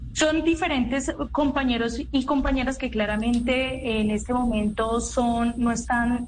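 Over noticeable background noise, a woman speaks in a high pitch with fairly even intonation, very even loudness and hardly any pauses. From Colombia, Cali (Pacific region). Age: 20s. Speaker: youth advisor to the government, student leader. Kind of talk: radio interview. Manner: halting, many fillers and repetitions.

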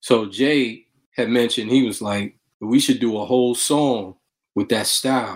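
A man with a Brooklyn accent talks at a fairly slow pace. His pitch is medium and his intonation fairly even. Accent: New York, Brooklyn. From New York City, Brooklyn. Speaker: rapper and music producer. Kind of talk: interview.

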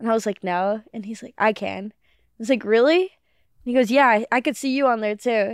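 A woman with a normal speaking voice talks at a moderate pace and a fairly high pitch, with ordinary pitch variation. The very clean recording has a silent background and a dry, close sound with no echo. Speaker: comedian. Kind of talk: casual chat.

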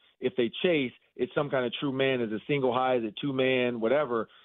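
Speaking at a very fast pace, the man has a fairly high pitch. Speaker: sports media host, former football player. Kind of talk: sports radio interview.

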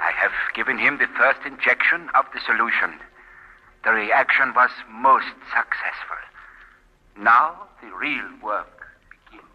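A man performs a put-on character voice at medium pitch, with ordinary pitch variation. His tone is bright and sharp with a slightly husky edge, and long pauses come often. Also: fairly slow pace.

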